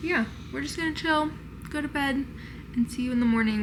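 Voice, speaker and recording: Woman with lively intonation, noticeable background noise and audible room echo. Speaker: lifestyle vlogger. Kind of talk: casual vlog narration. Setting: hotel room. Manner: chatty.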